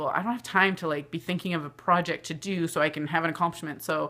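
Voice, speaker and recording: Her tone bright and sharp, a woman with a fairly low pitch talks at a fairly quick pace with fairly even intonation. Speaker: vlogger and aspiring author. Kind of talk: personal vlog monologue.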